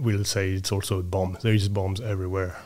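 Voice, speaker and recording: A man with a French accent speaks in a fairly low pitch, his intonation fairly even. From France. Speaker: researcher and ship owner. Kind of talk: casual interview. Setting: studio.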